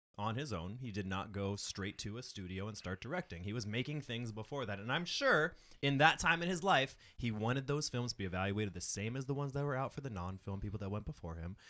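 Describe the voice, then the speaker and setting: A man talks very fast and loud in a bright, sharp, animated tone at a medium pitch. The recording is very clean, with a silent background. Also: lively intonation. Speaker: panelist. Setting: studio with mics. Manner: loud, animated, joking.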